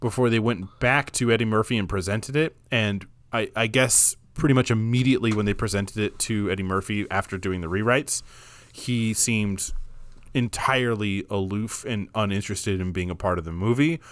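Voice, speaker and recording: At a fairly quick pace, a man speaks in an unremarkable speaking voice of medium pitch with ordinary pitch variation, on a very clean recording with a silent background. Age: 30s. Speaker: film podcast co-host. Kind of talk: casual chat.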